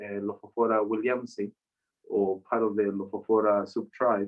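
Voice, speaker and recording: A man speaks at a fairly slow pace with a Spanish accent. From Mexico. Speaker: chef and cactus researcher. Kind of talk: online talk, casual interview.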